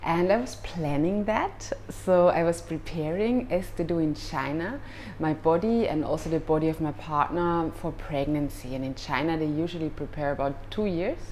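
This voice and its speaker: A woman with a slight German accent and a very deep, low pitch, at a moderate pace with ordinary pitch variation, in a room with audible echo and noticeable background noise. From Austria. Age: 30s. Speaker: yoga teacher. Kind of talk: personal advice vlog. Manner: halting, with fillers.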